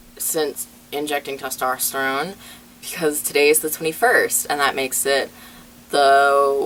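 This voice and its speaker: Over noticeable background noise, a man speaks at a moderate pace in a fairly high voice. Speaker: transgender vlogger. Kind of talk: personal vlog update. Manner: hesitant, many fillers.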